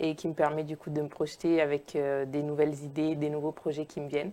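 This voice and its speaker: A woman with an Italian accent speaks in a very deep, low pitch. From Italy, Naples. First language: Italian (speaking French). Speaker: sociologist and filmmaker. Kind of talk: interview. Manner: hesitant, many fillers.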